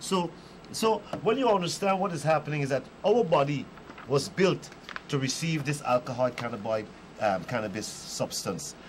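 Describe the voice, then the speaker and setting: A fairly high-pitched man speaks at a moderate pace with very wide pitch swings and long, frequent pauses. Noticeable background noise is present. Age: 60s. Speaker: marijuana reform advocate. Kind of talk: panel discussion.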